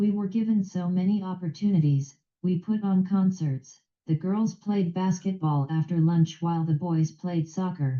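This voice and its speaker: A woman with a somewhat breathy, dark, mellow voice speaks at a moderate pace and fairly low pitch. Her intonation stays fairly even and her loudness very even. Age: 60s. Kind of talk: prepared speech. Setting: video call.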